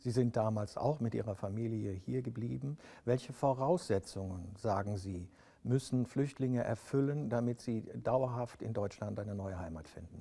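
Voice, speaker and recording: The tone is dark and mellow, with a somewhat breathy quality. The background is quiet. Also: man, medium pitch for a man, ordinary pitch variation, moderate pace. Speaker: TV interviewer. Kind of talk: interview. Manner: formal.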